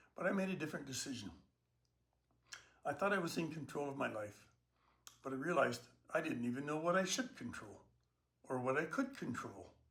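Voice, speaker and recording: Vocal fry runs through a man's fairly quick speech. He leaves long, frequent pauses. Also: fairly high pitch for a man, lively intonation. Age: 70s. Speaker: online personal trainer for seniors. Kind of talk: talk to camera about health and aging.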